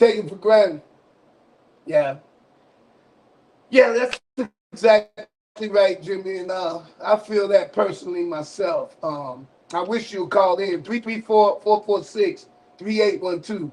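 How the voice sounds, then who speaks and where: A man with an American accent talks at a fairly slow pace, with long, frequent pauses. His high pitch shows ordinary variation. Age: 60s. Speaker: radio call-in show host. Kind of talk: live call-in broadcast.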